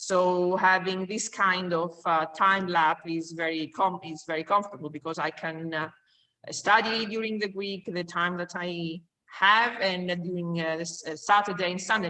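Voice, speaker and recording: Speaking with a Greek accent at a moderate pace, a woman with a fairly low pitch keeps her intonation fairly even while her loudness swings widely. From Greece. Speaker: course student. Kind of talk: self-introduction in online class. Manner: halting, many fillers.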